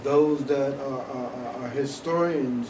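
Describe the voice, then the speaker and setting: Noticeable background noise and audible room echo fill the recording. A man speaks at a medium pitch. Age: 60s. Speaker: museum event host. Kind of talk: moderated public conversation. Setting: museum event with audience.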